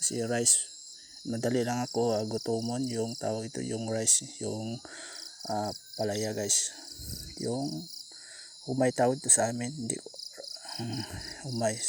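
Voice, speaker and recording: The man's intonation is fairly even, his pitch medium, and his pace fairly slow with long, frequent pauses. Noticeable background noise runs underneath. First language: Cebuano (Bisaya) (speaking Tagalog). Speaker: vlogger. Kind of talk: casual eating vlog. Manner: halting, code-switching. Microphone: far from the camera.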